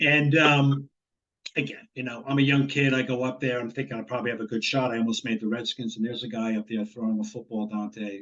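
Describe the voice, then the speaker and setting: A man with a New Jersey accent, very fast pace and fairly even intonation. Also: medium pitch for a man. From northern New Jersey. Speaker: former college quarterback. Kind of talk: interview.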